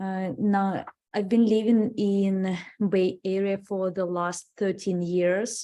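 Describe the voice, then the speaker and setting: A woman with a Russian accent speaks very slowly at a medium pitch, her tone dark and mellow and her intonation monotone and flat. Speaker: city commissioner. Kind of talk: self-introduction at public meeting. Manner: halting, many fillers.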